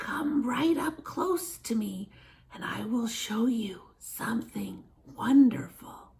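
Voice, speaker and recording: In a put-on character voice, the speaker whispers at a very slow pace, sounding creaky and raspy. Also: woman. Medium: read story. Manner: whispering, wheedling.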